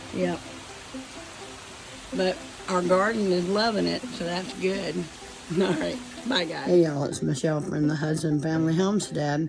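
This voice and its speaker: A woman with a Southern US accent and a fairly low pitch speaks at a moderate pace with long, frequent pauses, amid noticeable background noise and audible room echo. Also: ordinary pitch variation. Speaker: homesteading vlogger. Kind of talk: casual vlog.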